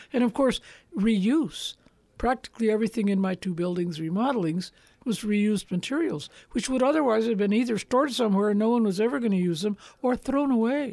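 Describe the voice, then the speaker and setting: A woman with an American accent speaks in a dark, mellow tone at a very even loudness. It is a very clean recording with a silent background. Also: fairly high pitch for a woman, lively intonation, fairly quick pace. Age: 80s. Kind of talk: interview conversation. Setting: studio.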